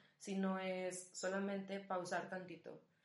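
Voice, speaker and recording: A woman's medium-pitched voice at a very slow pace, with audible room echo. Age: 20s. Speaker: student and rugby coach. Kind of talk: casual chat.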